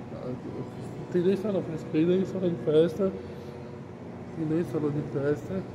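Against noticeable background noise, a man with a high pitch and ordinary pitch variation talks at a fairly slow pace, leaving long, frequent pauses. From Brazil, Santos (São Paulo coast); São Paulo, Brazil. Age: 20s. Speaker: vlogger. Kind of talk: casual vlog walkthrough. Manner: halting, repetitive. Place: hall. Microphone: phone near.

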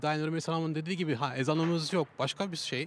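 A man, fairly high in pitch and fairly quick, in a dry sound with no echo and light background noise. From Belgium. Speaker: amateur theatre actor. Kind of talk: street interview. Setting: outdoors in a city square. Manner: halting. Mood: calm, reflective. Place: open country. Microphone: handheld.

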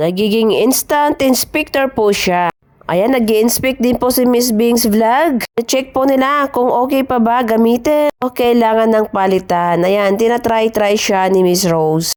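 Over music in the background, a woman with a fairly high voice speaks at a fairly slow pace, her loudness very even and her pitch varying in an ordinary way. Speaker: overseas worker vlogger. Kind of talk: travel vlog narration. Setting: shopping mall.

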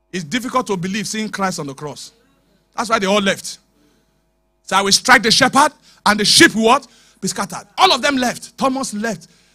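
A man shouting in a raised, projected voice, high-pitched, bright and sharp in tone, animated, at a moderate pace over a quiet background. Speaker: preacher. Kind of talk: sermon. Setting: church with live congregation. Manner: animated, urgent preacher in full flow, exhorting the congregation; call-and-response, commanding the crowd to shout and repeat. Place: church. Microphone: handheld.

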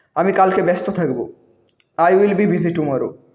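High-pitched male speech with ordinary pitch variation and audible room echo. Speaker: English language teacher. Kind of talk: tutorial.

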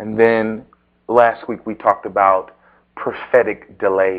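A man speaks very slowly, with a quiet background behind him. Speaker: preacher. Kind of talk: sermon. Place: church.

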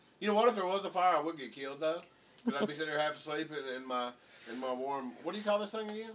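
A man's playful, fairly high voice in a Southern US accent, very fast, with lively intonation over light background noise. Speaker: father. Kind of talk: casual family banter. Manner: joking, playful. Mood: playful, drowsy humor. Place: home room. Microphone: camera far.

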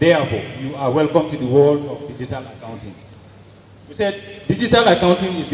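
With light background noise and audible room echo, a man talks at a fairly quick pace and a fairly high pitch. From Nigeria, Taraba State. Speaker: accountant; conference presenter. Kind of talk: group presentation. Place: hall. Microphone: handheld.

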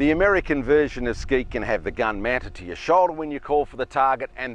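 With lively intonation, a man talks at a fairly quick pace in a dry sound with no echo. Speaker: shotgun coach. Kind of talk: tutorial. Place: open country. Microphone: lapel.

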